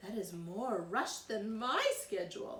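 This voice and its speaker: Putting on a character voice, a woman speaks at a fairly high pitch and a fairly slow pace. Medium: read story. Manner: polite.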